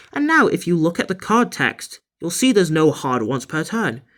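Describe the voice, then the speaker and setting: Speech moves at an average speed. The audio is very clean and the background is silent. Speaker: card game deck builder. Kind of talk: deck profile tutorial. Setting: holding camera while handling cards. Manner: casual; halting, stumbling over words.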